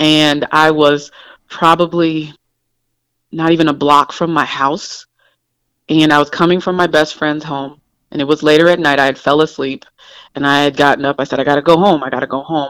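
Speaking at a moderate pace, a woman has a very deep, low pitch and monotone, flat intonation. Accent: American. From Indiana. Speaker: school principal. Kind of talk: phone interview.

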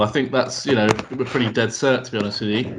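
A man with a southern English accent and fairly even intonation. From southern England. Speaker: podcast co-host. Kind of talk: casual podcast chat.

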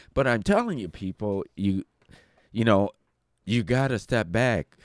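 In a dry, close sound with no echo, a man with an American accent talks at a moderate pace with lively intonation. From Detroit, Michigan. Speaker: guest on podcast. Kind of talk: casual chat. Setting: in studio with hosts.

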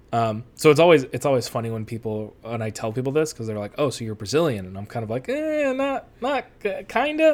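On a very clean recording with a silent background, a man speaks at a fairly quick pace with hardly any pauses and big swings in loudness. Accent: Western New York. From US Northeast, Western New York (Rochester area). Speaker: soccer writer. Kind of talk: casual interview.

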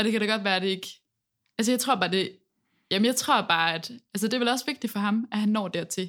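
A woman's fairly high voice at a very fast pace, with long, frequent pauses and ordinary pitch variation, in a very clean recording against a silent background. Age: 20s. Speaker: singer in a band, music student. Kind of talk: casual interview chat. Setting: university classroom.

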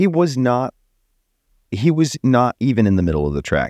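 Recorded very cleanly against a silent background, with a dry, close sound and no echo, a man's voice swings very widely in pitch. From Texas. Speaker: podcast co-host. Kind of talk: casual chat. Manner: laughs often.

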